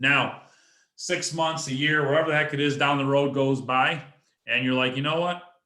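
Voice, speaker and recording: Audible room echo surrounds a man's medium-pitched voice, his intonation fairly even. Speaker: real estate investor. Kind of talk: presentation at an online meeting.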